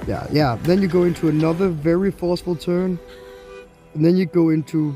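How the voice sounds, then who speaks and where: There is music in the background as a man talks at moderate speed. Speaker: roller coaster reviewer. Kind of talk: casual ride review voiceover.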